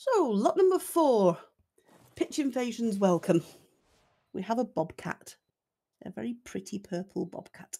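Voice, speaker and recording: A woman speaks slowly at a fairly high pitch, with a dark, mellow, somewhat breathy tone. Her pitch swings very widely, and she takes long, frequent pauses. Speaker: game server auctioneer and livestream host. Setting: livestream voice chat. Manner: chatty and self-deprecating, laughs often between lots.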